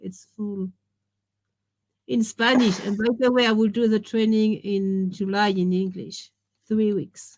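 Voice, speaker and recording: Long, frequent pauses break up the speech, delivered in a French accent. The intonation stays fairly even. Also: woman, medium pitch for a woman. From France. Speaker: education author and trainer. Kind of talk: interview.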